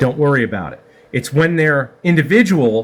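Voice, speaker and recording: Here is an ordinary speaking voice from a man at a moderate pace. His intonation is lively. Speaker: CNC systems technician. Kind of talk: tutorial.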